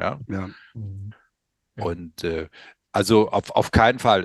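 The sound is dry and close, with no echo. A man speaks at a moderate pace with fairly even intonation. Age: 60s. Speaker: company founder presenting a product. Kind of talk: podcast interview.

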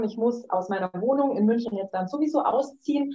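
A woman speaks at a moderate pace with a fairly high pitch. Hers is a normal speaking voice. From Munich, Bavaria, Germany. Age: 30s. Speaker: life design coach. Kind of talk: casual interview.

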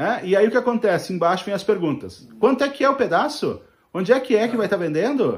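On a very clean recording with a silent background, a man speaks very fast at a high pitch with lively intonation. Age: middle-aged. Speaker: podcast co-host on social media marketing. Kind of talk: casual chat.

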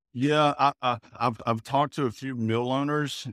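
A man with a Louisiana accent. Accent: Southern US (Louisiana). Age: 30s. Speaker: cotton farmer. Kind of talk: podcast interview.

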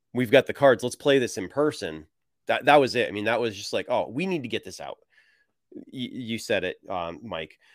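Vocal fry marks a man's medium-pitched voice, which has very wide pitch swings, big swings in loudness and a moderate pace, recorded dry and close with no echo. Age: 40s. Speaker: game designer and writer. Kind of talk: casual interview. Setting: video call on laptop, same room as co-guests.

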